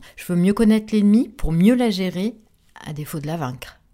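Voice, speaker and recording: Her tone dark and mellow, a woman talks at a moderate pace and medium pitch with lively intonation. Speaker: podcast host living with multiple sclerosis. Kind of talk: personal narrated testimony.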